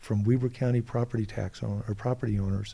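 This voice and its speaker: A man speaks in a somewhat breathy voice with fairly even intonation. The recording is very clean, with a silent background. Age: 60s. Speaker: political candidate. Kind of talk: interview. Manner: halting.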